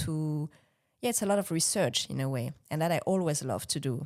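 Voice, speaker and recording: With a French accent, a woman speaks at a moderate pace in a very deep, low voice, captured in a very clean recording with a silent background. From France (Bordeaux). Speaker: business and life coach, former actress. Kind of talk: interview answer.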